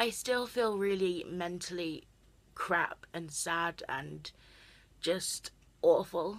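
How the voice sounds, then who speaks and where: A woman at a medium pitch, speaking at a very slow pace with long, frequent pauses. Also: ordinary pitch variation. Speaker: mental health vlogger. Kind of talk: personal vlog.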